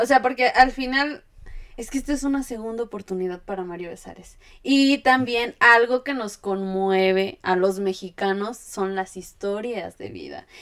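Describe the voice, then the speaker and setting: Against a quiet background, a woman with fairly high pitch speaks fairly slowly, with lively intonation and big swings in loudness. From Querétaro, Mexico; Mexico. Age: 20s. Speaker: eyelash technician and content creator; podcast guest. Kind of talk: casual chat. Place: home room.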